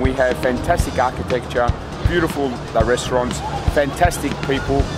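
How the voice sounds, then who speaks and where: A man talks at a very fast pace, with clear music in the background. The sound is dry with no echo. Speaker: travel vlogger. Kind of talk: casual vlog chat. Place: waterside. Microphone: phone near.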